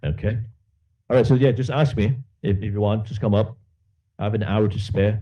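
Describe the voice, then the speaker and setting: Somewhat breathy and fairly low, a man's dark, mellow voice moves at a moderate pace with ordinary pitch variation. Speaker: law lecturer. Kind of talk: lecture.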